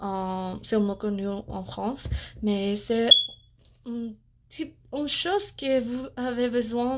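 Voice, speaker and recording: A woman with an English accent speaks at a very slow pace with a fairly high pitch. The recording is very clean, with a silent background. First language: English (speaking French). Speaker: beauty vlogger. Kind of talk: product review vlog. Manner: halting, many hesitations.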